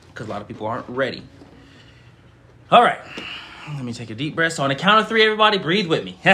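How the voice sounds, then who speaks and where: Fairly high-pitched for a man, this speaker talks at a very fast pace with very wide pitch swings and big swings in loudness. Long, frequent pauses break up his speech, and noticeable background noise is present. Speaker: spiritual teacher and channeler. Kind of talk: livestream spiritual service. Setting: live stream. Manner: lots of audible breathing.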